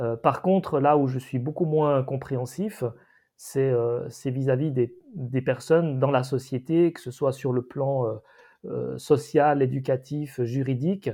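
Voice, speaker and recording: A man speaks at a fairly slow pace in a somewhat breathy, medium-pitched voice with fairly even intonation. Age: 50s. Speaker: podcast co-host. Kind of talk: casual discussion. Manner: halting.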